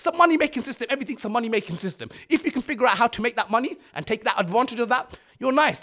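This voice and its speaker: A man speaks at a very fast pace in an animated, raised, projected voice, his pitch extremely high. His tone is bright and sharp, and his intonation is lively. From England, Luton. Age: 30s. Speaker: entrepreneur. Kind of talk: casual interview.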